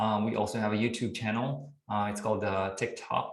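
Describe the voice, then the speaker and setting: A man speaks at a moderate pace in a fairly low, somewhat breathy voice. His intonation is fairly even, and the room echo is audible. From Philippines, Iloilo (Western Visayas). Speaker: community meeting host. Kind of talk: online community meeting. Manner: code-switching English and Tagalog.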